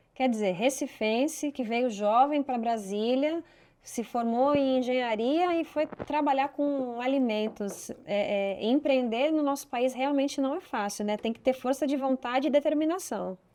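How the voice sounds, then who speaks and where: The voice has a dark, mellow tone and moves at a fairly slow pace with hardly any pauses. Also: woman, high pitch for a woman, ordinary pitch variation. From Brazil, São Paulo. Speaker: podcast host. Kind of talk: interview.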